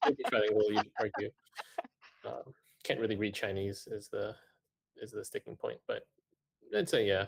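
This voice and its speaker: Using a dry, close sound with no echo, a man with a Cantonese accent talks at a moderate pace, leaving long, frequent pauses. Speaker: manga editor. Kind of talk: panel discussion. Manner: hesitant, many fillers.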